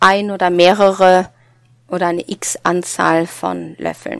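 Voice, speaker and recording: A woman with a Norwegian accent speaks very slowly at medium pitch with ordinary pitch variation, the sound dry and close with no echo. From Norway. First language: Norwegian (speaking German). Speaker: psychologist, former professor. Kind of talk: casual chat.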